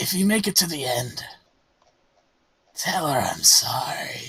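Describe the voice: A put-on character voice, raspy and hoarse, moves at a fairly slow pace. Its intonation is lively. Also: man, high pitch for a man.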